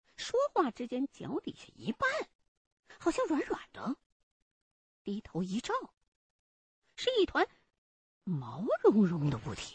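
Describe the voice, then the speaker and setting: Long, frequent pauses break up this very slow delivery. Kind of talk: true-crime horror narration, first-person retelling. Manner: suspenseful, tense, with a hushed, urgent build-up.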